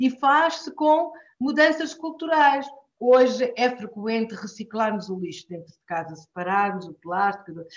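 Speaking at a fairly slow pace, a woman with a high pitch makes very wide pitch swings and big swings in loudness. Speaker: politician and professor. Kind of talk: interview.

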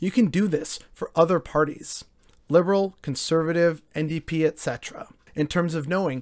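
A man with a Canadian accent talks at a moderate pace, fairly high in pitch and with fairly even intonation. He has a plain, everyday voice, and the recording is very clean with a silent background. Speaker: political commentary vlogger. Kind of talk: solo opinion monologue.

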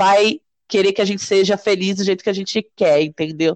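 Recorded dry and close with no echo, a woman has an ordinary speaking voice at medium pitch with ordinary pitch variation. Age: 30s. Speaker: entrepreneur. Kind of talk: interview.

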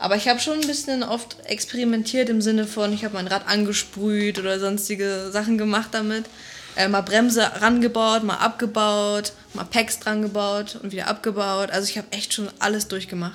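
Against noticeable background noise, a woman with a fairly high pitch speaks in a monotone, flat intonation. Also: moderate pace. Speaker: BMX athlete. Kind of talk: interview. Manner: casual, colloquial.

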